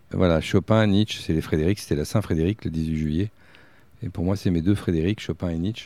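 A man speaks at a fairly quick pace in a very deep, low voice with a dark, mellow tone. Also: very clean recording, silent background. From France, Berry (Bourges). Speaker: festival director and writer. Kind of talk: casual chat. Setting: outdoors.

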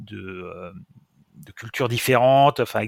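This recording is very clean, with nothing audible behind it. A man talks at a moderate pace. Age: 50s. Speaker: founder of a software school. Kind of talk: interview. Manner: hesitant, with frequent repetitions.

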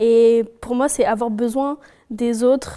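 A woman speaks at a very slow pace, her high voice dark and mellow in tone, with fairly even intonation. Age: 20s. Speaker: cosmetics worker. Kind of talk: casual chat.

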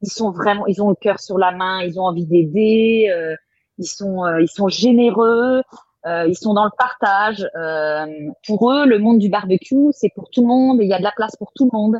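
At a fairly slow pace, a woman speaks in an ordinary speaking voice with a medium pitch and ordinary pitch variation. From Brittany, France. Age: 40s. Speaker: chef and food photographer. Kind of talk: casual interview.

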